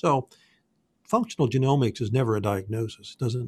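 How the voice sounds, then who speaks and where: A somewhat breathy man's voice at medium pitch, with ordinary pitch variation, a moderate pace, and a dry, close sound with no echo. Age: 60s. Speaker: functional genomics health practitioner. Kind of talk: interview.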